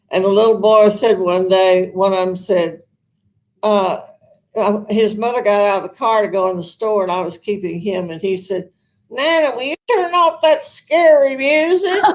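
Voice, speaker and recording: Speaking with a Southern accent at a moderate pace, a woman has a medium pitch, lively intonation and big swings in loudness. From US South, Arkansas. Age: old. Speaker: retired opera singer, senior living resident. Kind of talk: interview. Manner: halting.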